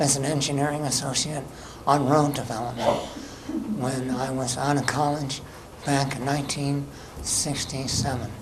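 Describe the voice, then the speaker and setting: With an American accent, a man speaks at a moderate pace in a fairly high pitch and fairly even intonation. Audible room echo and noticeable background noise surround him. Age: 70s. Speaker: resident speaking at public comment. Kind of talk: public comment at town meeting. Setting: public town board meeting.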